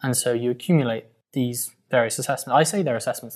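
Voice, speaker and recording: With a plain, everyday voice, a man at medium pitch talks at a fairly quick pace with fairly even intonation. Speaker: barrister. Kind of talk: interview.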